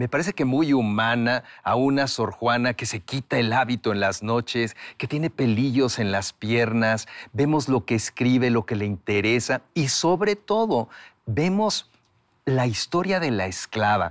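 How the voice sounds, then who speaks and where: A man with a normal speaking voice talks fairly slowly at medium pitch with lively intonation, in a very clean recording with a silent background. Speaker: writer and voice actor. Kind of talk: interview answer.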